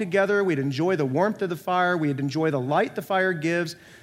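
A man with an American accent speaks at a fairly quick pace with ordinary pitch variation, in a very clean recording with a silent background. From US Midwest, rural North Iowa. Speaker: pastor. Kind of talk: sermon.

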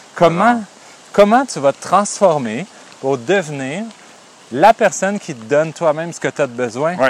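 Pitch swings very widely and loudness rises and falls sharply, with long, frequent pauses in a dry, close sound with no echo. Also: man, fairly high pitch for a man, moderate pace. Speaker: therapist and podcast co-host. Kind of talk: casual chat.

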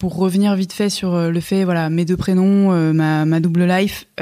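In a plain, everyday voice with fairly even intonation, the speech sits in a very clean recording with a silent background. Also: woman. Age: 30s. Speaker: media co-founder. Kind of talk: casual chat.

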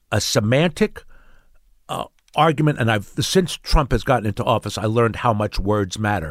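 With a Mid-Atlantic American accent, a man speaks at medium pitch with lively intonation on a very clean recording with a silent background. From Pennsylvania, Bucks County. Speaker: character actor. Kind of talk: casual interview chat.

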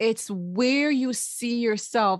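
A woman speaks in a normal speaking voice, pitched fairly high, with lively intonation. The background is quiet. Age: 40s. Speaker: podcast host. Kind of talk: interview.

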